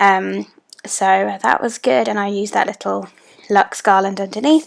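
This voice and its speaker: The speaker is a woman with a British accent. She talks fairly slowly. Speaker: planner YouTuber. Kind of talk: voiceover narration for a plan-with-me video. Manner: casual, many filler ums.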